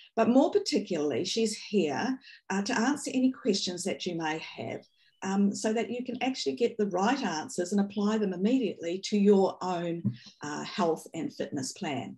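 Over a quiet background, a woman with a dark, mellow, somewhat breathy tone talks at a moderate pace with lively intonation. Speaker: webinar co-host. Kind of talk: webinar introduction and moderating. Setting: video call. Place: home room. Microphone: video call.

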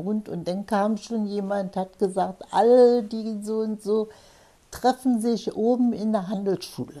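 Against a quiet background, a woman speaks at a fairly slow pace. Her tone is dark and mellow, with fairly even intonation. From Potsdam. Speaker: war eyewitness. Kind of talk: interview answer. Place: home room.

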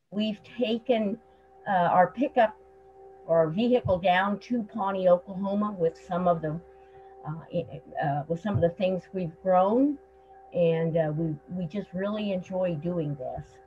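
Ordinary pitch variation over faint music in the background. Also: woman, fairly slow pace. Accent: American. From Nebraska. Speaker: gardener and historian. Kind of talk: introduction on a group call. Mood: reflective, warm. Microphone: video call.

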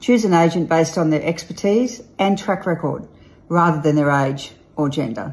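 A woman speaks with an Australian accent at a fairly low pitch. Her voice is somewhat breathy. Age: old. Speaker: real estate agent and auctioneer. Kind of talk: casual talk to camera, promotional message. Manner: playful, upbeat. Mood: playful, tongue-in-cheek. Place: home room. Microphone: phone near.

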